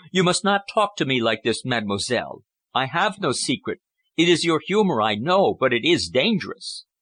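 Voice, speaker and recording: Putting on a character voice, a man sounds hoarse and high-pitched, moving at a moderate pace with very wide pitch swings against a quiet background. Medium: read story. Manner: hoarse, low, agitated.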